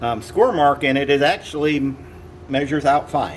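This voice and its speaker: A man with an American accent talks at a moderate pace and a fairly high pitch. Noticeable background noise runs underneath. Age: 60s. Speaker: machine repair technician. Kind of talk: tutorial. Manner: casual.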